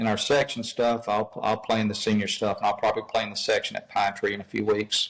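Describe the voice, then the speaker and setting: A man with an Alabama accent, fairly low pitch and a fairly quick pace. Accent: Southern US (Alabama). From US South, Mobile, Alabama. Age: 60s. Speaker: golf professional and instructor. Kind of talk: casual interview chat. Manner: halting, many fillers and repeats.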